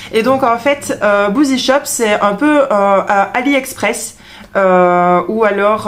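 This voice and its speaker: Speaking in a Belgian accent, a woman talks at a very slow pace. Her pitch is medium and its variation ordinary. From Belgium. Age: 30s. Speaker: beauty vlogger, trained beautician. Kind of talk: product review vlog. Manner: hesitant, many fillers.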